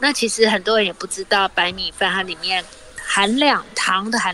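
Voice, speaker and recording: A woman talks at a moderate pace in a medium pitch with ordinary pitch variation. Noticeable background noise runs beneath her. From Taiwan, Tainan. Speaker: cookbook author and cooking teacher. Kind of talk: radio interview with recipe explanation. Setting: remote line from outside the studio.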